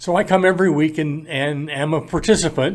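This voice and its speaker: Speaking with a Midwestern US accent, a man has a fairly high pitch. He talks fairly slowly with fairly even intonation. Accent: US Midwest. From Iowa. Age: 70s. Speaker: parenting program volunteer. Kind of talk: interview. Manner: halting.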